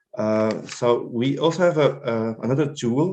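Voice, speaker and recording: With a French accent, a man speaks at a medium pitch. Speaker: health project manager. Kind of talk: presentation. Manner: halting, many fillers.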